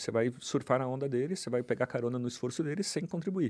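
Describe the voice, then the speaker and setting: Speaking with a Brazilian accent, a man with a fairly high-pitched voice swings his pitch very widely. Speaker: journalist and author. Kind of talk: casual chat.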